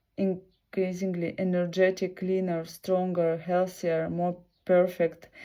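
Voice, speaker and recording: Speaking very slowly with a Russian accent, a woman uses a fairly low pitch, a dark, mellow tone and monotone, flat intonation. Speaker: video blogger. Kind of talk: reading aloud. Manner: halting.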